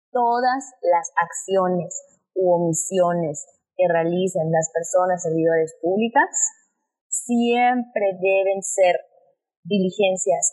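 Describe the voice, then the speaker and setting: Very slowly, a woman talks in a medium pitch, her pitch varying in an ordinary way. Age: 20s. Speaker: lawyer. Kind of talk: explanatory interview.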